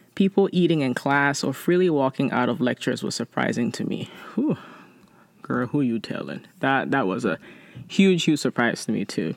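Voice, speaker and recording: A woman speaks with a very deep, low pitch and vocal fry, her voice making very wide pitch swings. She keeps a moderate pace in a dry, close sound with no echo. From immigrant from abroad. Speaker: podcast host. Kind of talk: casual monologue with letter reading.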